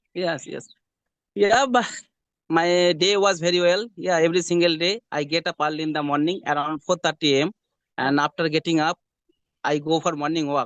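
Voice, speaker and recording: At a moderate pace and with ordinary pitch variation, the speaker leaves long, frequent pauses, recorded with a dry, close sound, no echo and a quiet background. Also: man, high pitch for a man. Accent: Bengali. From West Bengal, India. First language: Bengali. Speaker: hospital attendant, English learner. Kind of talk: English conversation practice. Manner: halting.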